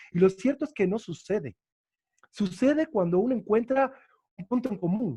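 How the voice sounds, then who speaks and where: The background stays quiet. A man talks at a moderate pace with lively intonation. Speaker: university lecturer. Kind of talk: lecture Q&A.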